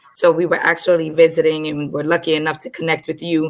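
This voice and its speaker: Speaking very fast with a New York accent, a woman keeps fairly even intonation at a very deep, low pitch. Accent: New York American. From Brooklyn, New York. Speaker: co-host and business consultant. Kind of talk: panel discussion.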